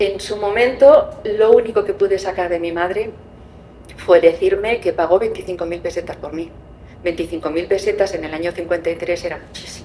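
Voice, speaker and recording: A woman speaks at a fairly quick pace with fairly even intonation and big swings in loudness, with noticeable background noise behind her. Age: 60s. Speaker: adoptee searching for birth family. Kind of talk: testimony.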